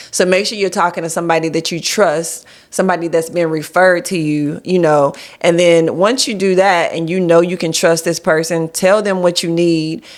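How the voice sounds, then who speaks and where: This woman has an unremarkable speaking voice, fairly low in pitch. She moves at a moderate pace with fairly even intonation. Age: 40s. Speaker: life insurance agent and business coach. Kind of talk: casual chat. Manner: explanatory, conversational.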